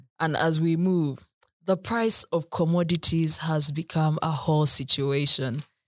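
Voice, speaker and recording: Fairly slow speech on a very clean recording with a silent background. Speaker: podcast host. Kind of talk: interview.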